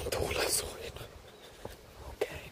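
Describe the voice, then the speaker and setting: A relaxed, fairly slow whisper over noticeable background noise. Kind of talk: ASMR soft-spoken talk with tapping and scratching, casual chatter. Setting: outdoors in a forest, cool windy weather. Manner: soft-spoken, close whisper, relaxed.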